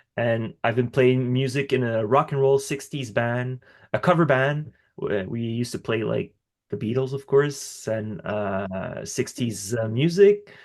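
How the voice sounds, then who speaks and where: Against a quiet background, a man with a slight French accent speaks at medium pitch and a fairly slow pace, with ordinary pitch variation. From Quebec, Canada (Montreal). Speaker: musician. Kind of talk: interview. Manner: halting.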